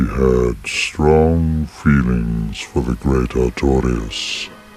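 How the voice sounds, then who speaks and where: In a put-on character voice, a man speaks very slowly with a solemn tone, a very deep, low pitch and ordinary pitch variation. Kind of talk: archaic formal speech. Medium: video game. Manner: slow, solemn, sorrowful.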